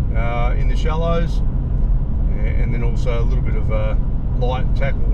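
Loud background noise behind a man's moderate-paced speech. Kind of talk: casual vlog chat. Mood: relaxed, looking forward. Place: car. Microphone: camera far.

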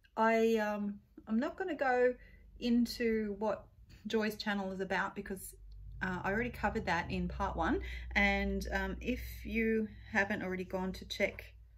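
Taking long, frequent pauses, a woman talks at a fairly slow pace. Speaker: beauty vlogger. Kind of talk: casual makeup tutorial chat. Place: home room. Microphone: phone near.

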